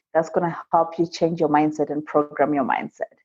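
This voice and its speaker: With an African accent, a woman speaks in a dark, mellow tone. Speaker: immigrant entrepreneur and seminar speaker. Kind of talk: podcast interview.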